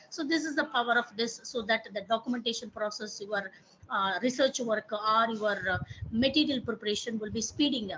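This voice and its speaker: A woman with an Indian accent speaks at a fairly quick pace in a fairly high pitch. Her tone is bright and sharp, with ordinary pitch variation. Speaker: professor. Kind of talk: online training workshop tutorial.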